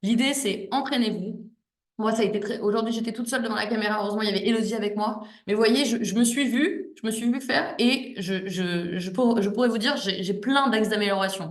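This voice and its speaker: A woman talks at a fairly quick pace with a fairly high pitch and ordinary pitch variation. Room echo is audible. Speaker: exam prep coach. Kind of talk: online class wrap-up. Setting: video call. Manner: smiling, warm; halting, many repetitions.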